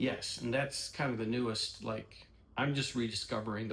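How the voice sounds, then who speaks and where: A man's somewhat breathy, monotone voice with flat intonation and audible room echo. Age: 60s. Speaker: interviewee discussing health journey. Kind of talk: casual interview chat. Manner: halting, many fillers and repetitions.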